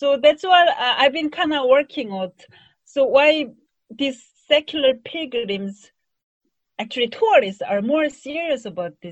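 With a Korean accent, the speaker goes at a fairly slow pace, leaving long, frequent pauses, with very wide pitch swings and big swings in loudness. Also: woman, high pitch for a woman. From South Korea. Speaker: tourism scholar. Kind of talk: academic interview.

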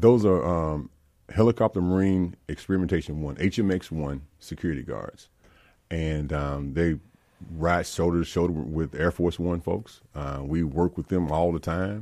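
A man with a Mississippi accent talks at a moderate pace in a very deep, low voice. His tone is dark and mellow, and his pitch varies in an ordinary way. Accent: US Southern (Mississippi). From Mississippi, Jackson. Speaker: public service commissioner and Marine veteran. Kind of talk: interview. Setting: studio.

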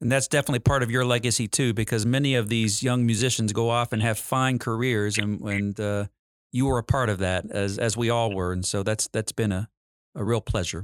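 A man with a plain, everyday voice speaks at medium pitch and a fairly quick pace, with fairly even intonation. The sound is dry and close with no echo. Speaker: orchestra conductor and host.

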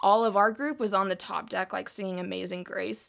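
A woman with an American accent and monotone, flat intonation, on a very clean recording with a silent background. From US Midwest, South Dakota. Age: 20s. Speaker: church intern. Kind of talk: casual interview. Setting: studio.

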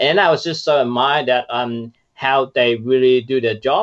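Speaking at a moderate pace, a man talks with a Chinese accent. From China. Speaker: startup founder. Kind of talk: casual interview.

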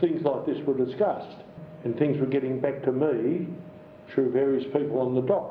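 A man with an Australian accent talks at a fairly quick pace with fairly even intonation. There's audible room echo and noticeable background noise. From Melbourne, Australia. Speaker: retired police detective. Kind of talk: interview. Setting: home living room.

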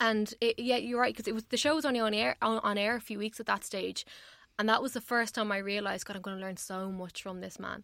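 At a very fast pace, a woman speaks with a fairly high pitch and ordinary pitch variation. Her tone is bright and sharp. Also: very clean recording, silent background. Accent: Irish. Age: 20s. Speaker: radio tech journalist. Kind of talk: casual chat. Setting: radio studio.

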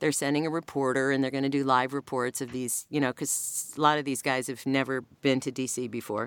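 A woman's very deep, low voice with an American accent, monotone and fairly quick, in a very clean recording with a silent background. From US Midwest. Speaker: voiceover artist. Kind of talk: casual interview chat.

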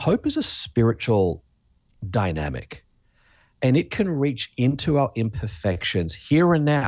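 With an Australian accent and a quiet background, a man speaks at a fairly slow pace with very even loudness and very wide pitch swings. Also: medium pitch for a man. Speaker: pastor and author. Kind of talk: interview. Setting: video call.

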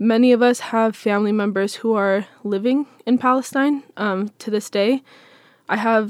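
In a very clean recording with a silent background, a woman uses a normal speaking voice, fairly high in pitch, with fairly even intonation at a moderate pace. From Seattle, US Pacific Northwest. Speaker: Palestinian-American community member. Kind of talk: interview.

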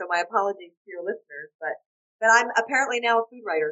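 A woman talks at a fast pace with a bright, sharp tone. Her medium pitch moves with lively intonation.

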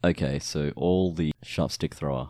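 A man speaks in an Australian accent at a very deep, low pitch, dark and mellow in tone. His pitch varies in an ordinary way, and the sound is dry and close with no echo. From Australia, Victoria. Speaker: podcast host. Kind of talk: casual chat. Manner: laughs often.

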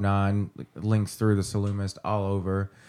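A man with an American accent speaks at a moderate pace in a fairly low pitch. The recording is very clean, with a silent background. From Kentucky. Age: 30s. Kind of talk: casual chat.

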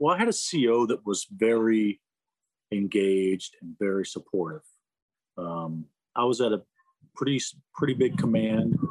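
With an American accent and lively intonation, a man speaks at a moderate pace and medium pitch, leaving long, frequent pauses in a dry, close sound with no echo. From Florida, US South. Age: 50s. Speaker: retired navy rescue swimmer and officer. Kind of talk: interview. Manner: casual, conversational.

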